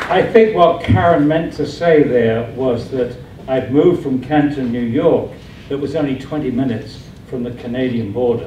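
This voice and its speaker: Amid noticeable background noise and audible room echo, a man speaks at a medium pitch and moderate pace with ordinary pitch variation. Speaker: scientist and anti-fluoridation campaigner. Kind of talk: public presentation. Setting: committee room with audience.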